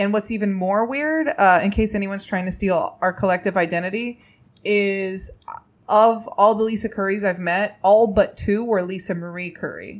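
A woman with an American accent speaks at a moderate pace and medium pitch, with ordinary pitch variation. It's a plain, everyday voice. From Indiana, US Midwest. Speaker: comedian and TV writer. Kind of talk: casual chat.

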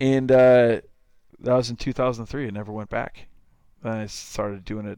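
A man's loudness swings widely while his intonation stays monotone and flat. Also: medium pitch for a man, moderate pace. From southern Minnesota, small town. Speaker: baseball club owner and coach. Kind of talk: casual interview chat.

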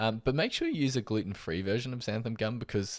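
Ordinary pitch variation and a fairly quick pace come from a man with an Australian accent. The recording is very clean, with a silent background. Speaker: podcast host, nutritional therapist. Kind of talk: solo educational podcast. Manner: casual, with frequent fillers.

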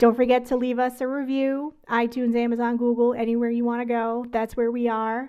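At a fairly quick pace with hardly any pauses, a woman speaks in a high pitch with a dark, mellow tone and monotone, flat intonation on a very clean recording with a silent background. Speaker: podcast host. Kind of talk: casual chat.

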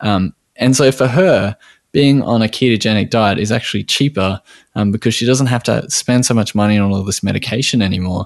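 Talking at a fairly quick pace with an Australian accent, a man shows ordinary pitch variation in a dry, close sound with no echo. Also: medium pitch for a man. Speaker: podcast host, nutritional therapist. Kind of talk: casual interview. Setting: remote call. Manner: halting, many fillers.

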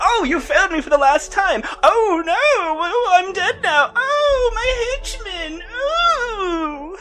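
In a put-on character voice of extremely high pitch, the speaker goes at a very slow pace with hardly any pauses over clear background noise. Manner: mocking; theatrical, taunting.

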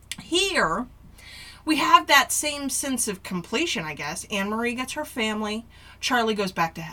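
The voice swings very widely in pitch and shows big swings in loudness over noticeable background noise. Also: woman, fairly high pitch for a woman, moderate pace. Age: 40s. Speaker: podcast co-host. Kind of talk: casual chat.

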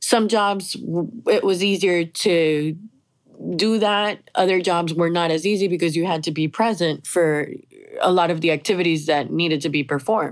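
A woman with an American accent speaks at a moderate pace in an ordinary speaking voice. Her pitch is fairly low, with ordinary pitch variation. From Miami, Florida, with Colombian parents. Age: 40s. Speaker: cancer survivor and remote-working traveler. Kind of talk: interview conversation. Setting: remote call.

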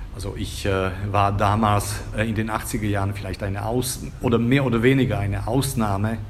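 Amid noticeable background noise and audible room echo, a man speaks at a moderate pace with a fairly low pitch and fairly even intonation. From Slovakia, Bratislava. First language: Slovak (speaking German). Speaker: Germanist professor and literary translator. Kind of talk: casual interview. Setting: café. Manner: halting, many fillers and repetitions.

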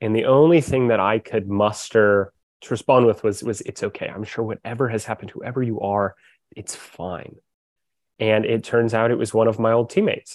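A man with an American accent, medium pitch, big swings in loudness, and a dry, close sound with no echo. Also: moderate pace. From US Pacific Northwest, Corvallis, Oregon. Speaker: social entrepreneur using sport for social change. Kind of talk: podcast interview. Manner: halting, repeats words.

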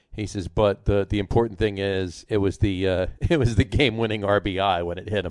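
With a plain, everyday voice, a man of fairly low pitch speaks at a moderate pace with fairly even intonation and hardly any pauses, over a quiet background. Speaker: sports podcast host. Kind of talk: casual sports banter.

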